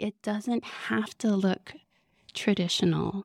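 With an American accent, a woman at medium pitch speaks very slowly in a very clean recording with a silent background. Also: dry, close sound with no echo. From Southern California. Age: 30s. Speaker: spiritual director. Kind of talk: live podcast interview. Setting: stage with audience.

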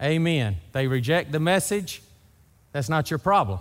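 A man with a Southern US accent speaks at a moderate pace. His pitch is fairly high and his intonation lively. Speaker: pastor. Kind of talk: sermon. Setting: church.

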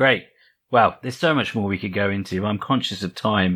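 This man has an ordinary speaking voice. His pitch is fairly low, with ordinary pitch variation. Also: very clean recording, silent background. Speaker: podcast host. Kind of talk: interview.

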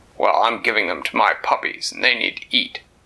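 A man puts on a growling character voice. He talks at a fairly quick pace. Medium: read story. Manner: gruff.

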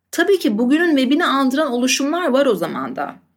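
A high-pitched woman's voice with lively intonation at a moderate pace. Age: 30s. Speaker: podcast host. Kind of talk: scripted narration.

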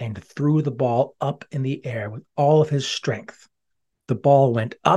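Against quiet surroundings, someone reads in an unforced voice.

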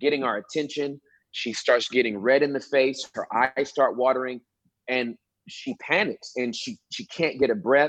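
A man with an American accent and an unremarkable speaking voice talks at a fairly slow pace and fairly high pitch, with ordinary pitch variation and a dry, close sound with no echo. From Southern California, Inglewood. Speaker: pastor and comedian. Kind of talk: casual chat. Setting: video call.

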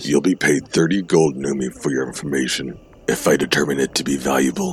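This man's voice is raspy, with a very deep, low pitch. His intonation stays fairly even. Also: fairly quick pace. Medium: audio drama. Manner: commanding, threatening.

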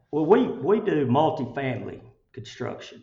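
Here is a man speaking. He has an Alabama accent. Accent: Southern US, Alabama. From Chelsea, Alabama. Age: 60s. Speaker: construction company CEO. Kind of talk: interview, conversational. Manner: casual, folksy, halting with fillers.

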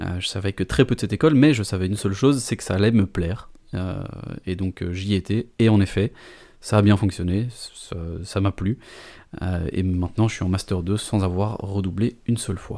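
At a moderate pace, a man with a fairly low pitch and a dark, mellow tone speaks with ordinary pitch variation and long, frequent pauses on a very clean recording with a silent background. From Belgium, Brussels. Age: 20s. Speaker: communication student. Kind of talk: interview. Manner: halting, many hesitations.

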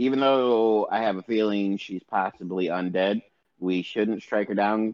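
A man with an ordinary speaking voice talks at a fairly slow pace in a fairly low pitch, with ordinary pitch variation. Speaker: tabletop game player. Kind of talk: casual banter in a game session.

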